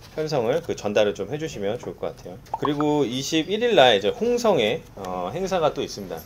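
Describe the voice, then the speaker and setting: Over noticeable background noise, a man talks fairly quickly at a fairly high pitch, with very wide pitch swings. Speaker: insurance sales manager. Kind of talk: staff briefing.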